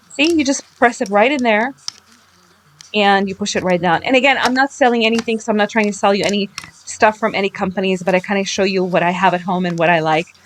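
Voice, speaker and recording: A woman speaks very fast at a medium pitch with ordinary pitch variation, over noticeable background noise. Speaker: craft video creator. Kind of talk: tutorial. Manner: casual.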